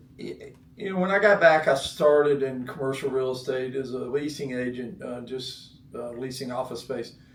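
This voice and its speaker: A man with an American accent talks at a medium pitch with ordinary pitch variation and hardly any pauses. His loudness swings widely, with audible room echo and noticeable background noise. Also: moderate pace. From North Carolina. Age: 60s. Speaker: former pro tennis player, real estate executive. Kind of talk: interview. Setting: studio.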